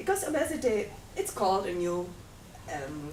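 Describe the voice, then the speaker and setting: A woman's fairly low pitch and lively intonation, with audible room echo. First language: not English. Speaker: workshop participant, journalist. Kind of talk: mock media interview role-play. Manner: formal interviewer style.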